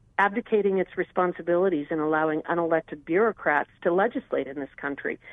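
A woman with an American accent talks at a very fast pace with a fairly low pitch. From Wyoming, US. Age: 50s. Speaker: congressional candidate and attorney. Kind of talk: political interview. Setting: phone call. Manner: repeats words when speaking quickly.

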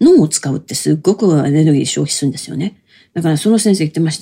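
Her voice comes out somewhat breathy. The woman moves along at a fairly quick clip. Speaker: storyteller (kodan performer) and narrator. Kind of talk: casual solo talk. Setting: home bedroom. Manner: lively.

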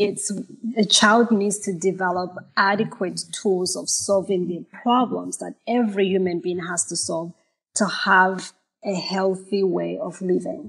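A woman speaks at a medium pitch with vocal fry. Her pace is fairly slow and her intonation fairly even. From Malawi and Zimbabwe. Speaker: mental health therapist. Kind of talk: panel discussion.

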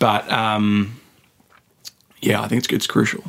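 This man talks at a fairly low pitch with an Australian accent. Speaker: sports journalist. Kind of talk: casual chat. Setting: studio.

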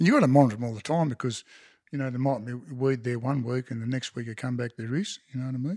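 With a rural Australian accent, a man talks at a very fast pace, his medium pitch held in fairly even intonation. The recording is very clean, with a silent background and a dry, close sound with no echo. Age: 60s. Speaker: farmer. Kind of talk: casual interview chat. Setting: at the homestead over a cuppa.

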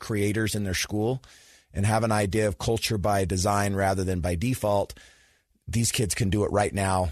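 A man's normal speaking voice, fairly low in pitch, with fairly even intonation at a moderate pace over a quiet background. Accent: American. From Utah (Sandy). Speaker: youth sports program founder and speaker. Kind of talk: interview.

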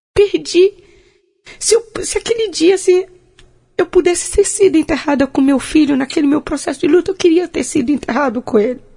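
Dark and mellow in tone, this voice moves at a fairly quick pace with lively intonation. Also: woman, extremely high pitch for a woman. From Bahia, Brazil (Porto Seguro). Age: 50s. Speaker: social entrepreneur and marathon runner. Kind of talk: interview, life story. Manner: halting, with frequent repetitions.

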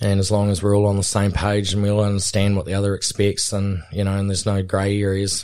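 A man talks at a very fast pace with a fairly low pitch. His intonation stays monotone and flat. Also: very clean recording, silent background. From New Zealand. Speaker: helicopter pilot and cattleman. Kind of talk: casual interview. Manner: relaxed, with frequent fillers and hesitations.

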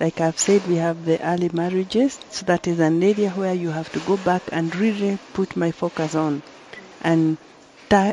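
A woman speaks at a moderate pace and medium pitch. The sound is dry and close with no echo, though noticeable background noise is heard. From Kenya. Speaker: member of parliament. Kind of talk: panel discussion. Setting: conference venue, live broadcast.

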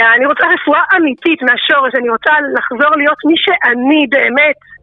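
Ordinary pitch variation and a moderate pace in a woman's high voice. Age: 40s. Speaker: interviewee sharing personal story of depression. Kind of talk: testimony.

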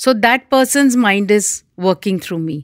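In a plain, everyday voice with lively intonation, a woman is heard on a very clean recording with a silent background and a dry, close sound with no echo. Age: 60s. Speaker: hypnotherapist. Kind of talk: interview.

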